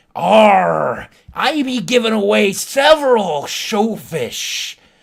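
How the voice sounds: A put-on character voice with a fairly high pitch. It moves at a very slow pace.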